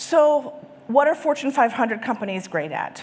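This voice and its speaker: A woman speaks in an enthusiastic tone. Her pitch swings very widely. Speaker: conference speaker on sales and marketing. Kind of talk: conference presentation. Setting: stage with live and virtual audience. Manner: fast.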